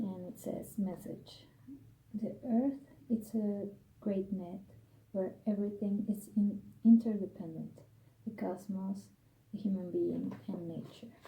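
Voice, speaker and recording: Soft-spoken and somewhat breathy, a woman with a dark, mellow tone and medium pitch speaks at a very slow pace with fairly even intonation and long, frequent pauses. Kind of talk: ASMR tarot card reading.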